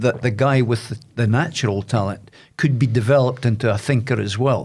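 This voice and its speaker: A man speaks with a Scottish accent at a moderate pace. His voice is somewhat breathy. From Aberdeen, Scotland. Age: 70s. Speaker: boxing coach and former sports presenter. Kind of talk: podcast interview answer.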